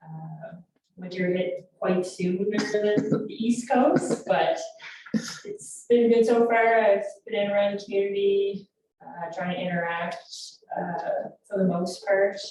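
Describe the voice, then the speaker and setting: Very slowly, a woman with a medium pitch speaks amid audible room echo. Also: ordinary pitch variation. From Newfoundland, Canada. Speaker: police constable. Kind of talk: self-introduction at council meeting. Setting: council meeting.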